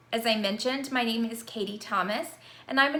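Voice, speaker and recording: A woman's fairly high-pitched voice at a fairly quick pace, with audible room echo. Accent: American. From Virginia, US South. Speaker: university instructor. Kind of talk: course introduction video. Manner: conversational.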